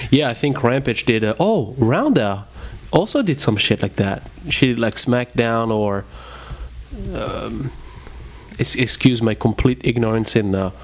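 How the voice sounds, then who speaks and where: A man with a French accent talks at a fairly slow pace with ordinary pitch variation. Long, frequent pauses break up his speech over noticeable background noise. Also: medium pitch for a man. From France. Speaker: podcast co-host. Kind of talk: casual chat.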